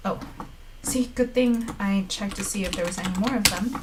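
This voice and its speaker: Audible echo fills the room. A woman's voice comes through it. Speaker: live-streaming developer. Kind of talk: live coding stream. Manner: casual, thinking aloud with fillers.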